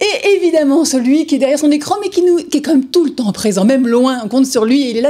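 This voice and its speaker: Against noticeable background noise, a woman speaks at a very fast pace with hardly any pauses, in a high pitch with lively intonation and very even loudness. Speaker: TV presenter of a comic book show. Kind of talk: live TV show presenting; interview. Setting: TV studio, live broadcast.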